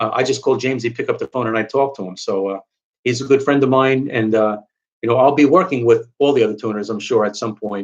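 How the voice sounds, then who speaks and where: Rattling along very fast, a man with a New York accent speaks at medium pitch with ordinary pitch variation. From New York, Long Island. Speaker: car enthusiast YouTuber. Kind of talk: live stream Q&A. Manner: halting, many fillers.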